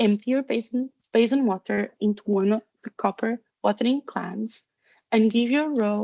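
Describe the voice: A quiet background behind plain reading aloud, pitch varying ordinarily.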